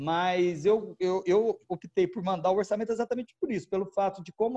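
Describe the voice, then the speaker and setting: At a fairly quick pace, a man speaks with a high pitch and ordinary pitch variation. His tone is dark and mellow, with a dry, close sound and no echo. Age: 40s. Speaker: wedding and event photographer. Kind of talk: casual interview chat.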